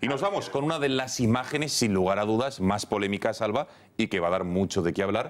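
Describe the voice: At a fairly quick pace, a man speaks with a fairly low pitch and lively intonation.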